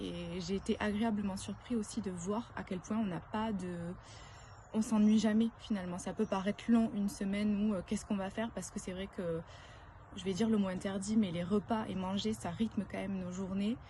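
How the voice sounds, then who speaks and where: This voice has a dark, mellow tone that is somewhat breathy, in a southern French accent. It moves at a fairly quick pace with fairly even intonation. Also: woman, medium pitch for a woman. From southern France. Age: 30s. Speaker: retreat participant, works in advertising. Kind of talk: testimony. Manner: hesitant, many filler sounds.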